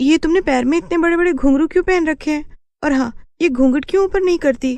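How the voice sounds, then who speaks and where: A female-sounding voice does a cartoonish character voice, pitched high for a woman. The pace is fairly quick. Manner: wary, questioning.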